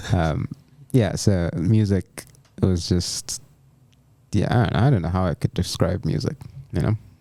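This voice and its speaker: With a very deep, low pitch and a dark, mellow tone, a man talks at a fairly slow pace with long, frequent pauses, the sound dry and close with no echo. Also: ordinary pitch variation. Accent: American. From Nigeria (Abuja). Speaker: graduate student and church musician. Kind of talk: casual chat. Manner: hesitant, many fillers and restarts.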